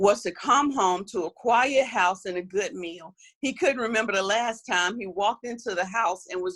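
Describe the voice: A passage in plain reading aloud.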